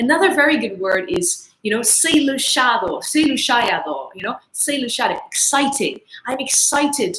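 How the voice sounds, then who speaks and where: A woman with a Dutch accent speaks at a high pitch with very wide pitch swings. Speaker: English teacher. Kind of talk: online English lesson livestream.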